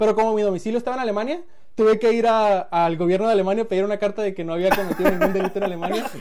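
Pitch varies in an ordinary way. The delivery is very fast. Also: man, high pitch for a man. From Mexico, Culiacán, Sinaloa. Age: 20s. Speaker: tech company employee. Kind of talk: casual chat.

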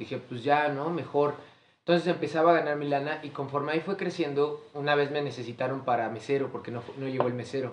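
Speaking at a very fast pace, a man with a Mexican accent uses a fairly high pitch and fairly even intonation. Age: 20s. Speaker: podcast host. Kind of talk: casual chat.

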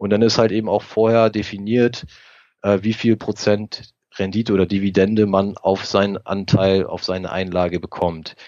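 At a moderate pace, a man speaks at a fairly low pitch in a monotone, flat intonation. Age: 40s. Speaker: private investor and technician. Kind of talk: interview.

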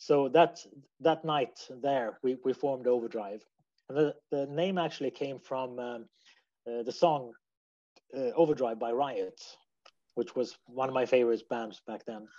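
A man with a Swedish accent speaks at a fairly slow pace, leaving long, frequent pauses. His voice is medium in pitch with a dark, mellow tone and ordinary pitch variation. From Sweden. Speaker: musician. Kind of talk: interview answers. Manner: halting, hesitant.

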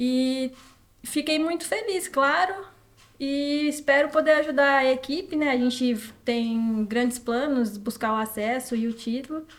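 A woman speaks at a fairly slow pace in a high voice. Her pitch varies in an ordinary way. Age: 20s. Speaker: professional footballer. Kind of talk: interview.

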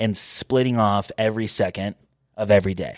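A man with an ordinary speaking voice talks at a moderate pace and a fairly low pitch, with fairly even intonation. The recording is very clean, with a silent background. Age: 20s. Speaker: podcast host. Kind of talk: casual chat.

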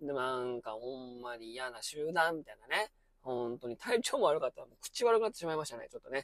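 Very fast and with lively intonation, a man speaks in a fairly high pitch, the sound dry and close with no echo. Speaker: former high school science teacher, podcaster. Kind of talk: casual monologue commentary. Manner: filler-heavy, conversational.

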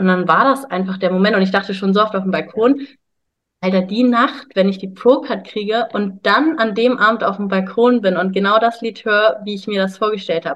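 Talking at a fairly quick pace, a woman of medium pitch uses ordinary pitch variation in a normal speaking voice. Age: 20s. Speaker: bodybuilder and health coach. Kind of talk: casual interview.

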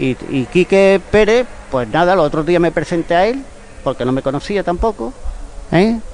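Noticeable background noise lies behind a man speaking. His high pitch moves in very wide swings. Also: moderate pace. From Spain, Málaga. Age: 60s. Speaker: football club member, retired photographer. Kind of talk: radio interview. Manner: animated.

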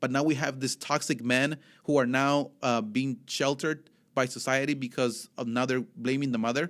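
At a moderate pace, a man with a Spanish accent speaks in an animated tone. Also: medium pitch for a man. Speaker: podcast host. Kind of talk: casual chat.

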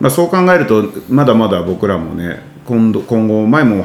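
Over music in the background and audible room echo, a man with a fairly low pitch speaks at a moderate pace with lively intonation. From Nagoya, Japan. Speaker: podcast host. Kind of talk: casual interview chat.

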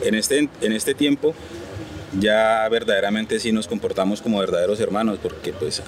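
A man's fairly quick delivery amid noticeable background noise. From Colombia. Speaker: driver. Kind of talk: interview. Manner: halting.

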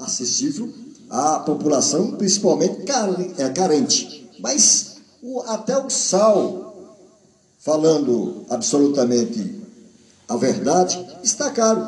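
A man with a high pitch and very wide pitch swings speaks at a very slow pace with long, frequent pauses, with audible room echo and noticeable background noise. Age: 50s. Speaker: radio host. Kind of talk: reading aloud; casual chat.

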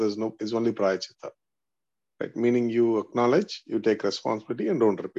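A man with an Indian accent speaks at a medium pitch in a dark, mellow tone. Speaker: spiritual seeker in study group. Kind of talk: religious study discussion.

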